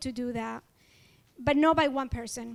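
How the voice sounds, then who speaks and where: Someone speaks at a moderate pace with an Ecuadorian accent. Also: woman. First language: Spanish. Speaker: award honoree, community organizer. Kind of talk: award acceptance speech. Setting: event hall with audience.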